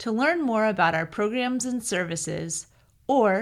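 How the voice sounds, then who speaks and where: A woman talks at a fairly slow pace in an unremarkable speaking voice. Her pitch variation is ordinary. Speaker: interview host. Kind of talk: program introduction narration.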